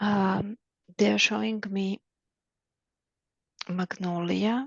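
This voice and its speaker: At a very slow pace, a woman of medium pitch speaks with fairly even intonation in a dry, close sound with no echo. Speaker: Akashic records reader, spiritual practitioner. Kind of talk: channeled spiritual reading session. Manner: halting, with many fillers and restarts.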